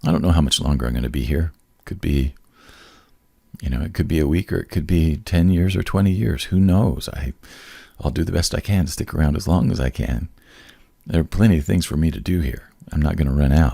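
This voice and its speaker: A man's very deep, low voice with a dark, mellow tone and vocal fry, ordinary pitch variation and long, frequent pauses. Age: 60s. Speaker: podcast host. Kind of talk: casual chat. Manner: animated.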